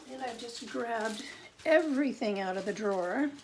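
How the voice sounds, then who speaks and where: A woman talks at a fairly slow pace with lively intonation. Noticeable background noise can be heard behind her. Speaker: card-making demonstrator. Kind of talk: live craft tutorial. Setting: live video stream. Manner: chatty, conversational.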